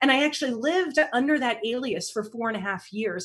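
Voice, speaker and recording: High pitch and lively intonation from a woman. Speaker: relationship coach and trauma survivor. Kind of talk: interview, personal story.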